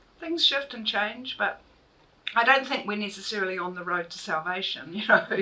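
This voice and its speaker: A woman with a New Zealand accent talks at a moderate pace, her pitch swinging very widely and her loudness rising and falling sharply over noticeable background noise. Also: medium pitch for a woman. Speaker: author and university lecturer. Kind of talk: public book talk. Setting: bookshop event with audience.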